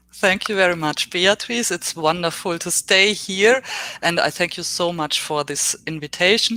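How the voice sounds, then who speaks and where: A woman with a German accent and a fairly low pitch speaks with ordinary pitch variation over noticeable background noise. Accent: German accent in English, basic English. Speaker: professor. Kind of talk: lecture. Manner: slow.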